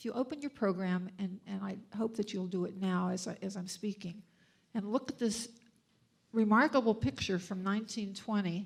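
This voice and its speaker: A woman's somewhat breathy voice with an American accent, medium in pitch, at a moderate pace and with fairly even intonation. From USA. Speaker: donor and board member. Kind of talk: dedication speech. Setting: event with audience. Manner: halting.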